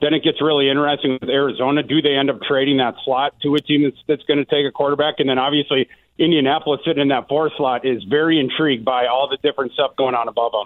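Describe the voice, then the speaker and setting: Here a man talks at a very fast pace and a fairly high pitch. His intonation is monotone and flat, and his loudness stays very even. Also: hardly any pauses. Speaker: NFL draft analyst. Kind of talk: interview.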